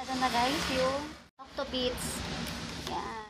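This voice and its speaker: A woman speaks at a high pitch, with noticeable background noise and audible room echo. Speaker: vlogger. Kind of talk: casual vlog narration. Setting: outdoors. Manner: soft-spoken.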